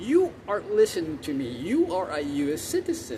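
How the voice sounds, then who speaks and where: This man has a high pitch and very wide pitch swings. His tone is animated. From South America. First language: Spanish. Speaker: vlogger. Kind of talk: opinion rant to camera. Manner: animated, repetitive; halting with stammered repeats.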